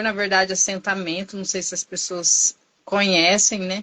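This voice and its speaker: Her tone bright and sharp, a woman speaks at a fairly slow pace in a medium pitch. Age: 40s. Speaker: nursing technician and vaccinator. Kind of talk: interview testimony.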